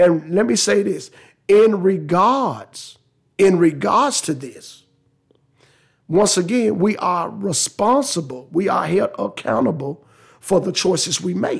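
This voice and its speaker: Speaking very slowly, a man uses lively intonation at a high pitch. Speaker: religious podcast host. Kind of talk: religious teaching monologue. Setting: Facebook Live stream. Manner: repetitive, halting.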